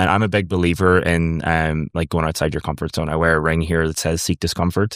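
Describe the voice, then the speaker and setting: In a dry, close recording with no echo, a man with a very deep, low pitch speaks fairly quickly in a monotone, flat way, his loudness very even. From Ireland. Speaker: startup founder. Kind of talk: interview. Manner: casual, many fillers.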